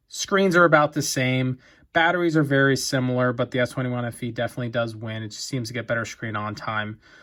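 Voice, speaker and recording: In a very clean recording with a silent background, a man talks fairly quickly in an ordinary speaking voice, his medium pitch showing ordinary variation. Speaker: tech reviewer. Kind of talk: product review video. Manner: casual, many fillers.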